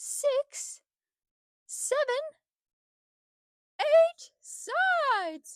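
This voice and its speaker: A woman uses a cartoonish character voice at an extremely high pitch, swinging very widely up and down. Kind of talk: children's educational puppet show. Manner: upbeat, playful.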